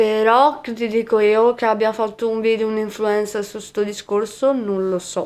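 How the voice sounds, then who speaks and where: A fairly slow pace with hardly any pauses, all in a monotone, flat intonation. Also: woman, fairly high pitch for a woman. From Veneto, Venice province. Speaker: content creator. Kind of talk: podcast interview. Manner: halting.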